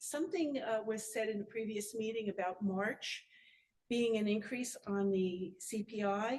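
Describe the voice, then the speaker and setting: A woman talks at a fairly slow pace in a fairly high pitch. Her voice is somewhat breathy. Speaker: resident speaking at public hearing. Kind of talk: public comment at board meeting.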